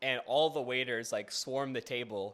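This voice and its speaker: A man with an American accent speaks at a moderate pace with a medium pitch. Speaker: YouTuber. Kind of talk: casual monologue. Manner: rambling, animated.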